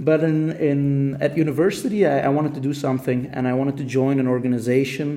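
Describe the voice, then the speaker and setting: Speaking very fast, a man keeps his intonation fairly even. His voice is fairly high, and the room echoes audibly. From Belgium, Ghent (Flanders). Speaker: political youth organizer. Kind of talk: interview. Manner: halting.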